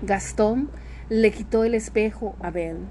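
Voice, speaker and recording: A woman speaks with a warm tone. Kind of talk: fairy-tale narration read aloud in English then Spanish, language-learning podcast. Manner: warm, affectionate, addressing listeners as loved ones; clear, measured, repeating for learners.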